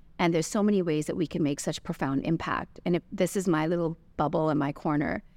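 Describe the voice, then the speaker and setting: This woman has an ordinary speaking voice, fairly low in pitch, with fairly even intonation at a fairly quick pace. The recording is very clean with a silent background and a dry, close sound without echo. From Canada. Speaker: business owner. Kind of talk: interview.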